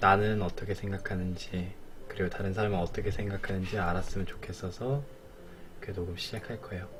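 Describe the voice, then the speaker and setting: The man's voice shows ordinary pitch variation. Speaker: streamer. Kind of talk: casual talk about a poem.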